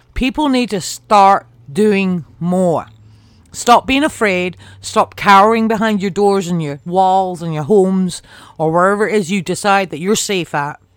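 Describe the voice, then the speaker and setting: This woman talks at a fairly slow pace. Her medium-pitched voice shows ordinary pitch variation. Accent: British. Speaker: podcast host. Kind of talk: angry rant about politics and inequality. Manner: impassioned, emphatic, swearing.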